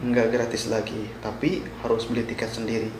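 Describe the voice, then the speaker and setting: Amid noticeable background noise and audible room echo, a man with a West Javanese accent speaks at a moderate pace. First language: Sundanese (speaking Indonesian). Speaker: vlogger, migrant worker. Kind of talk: informational vlog. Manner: halting.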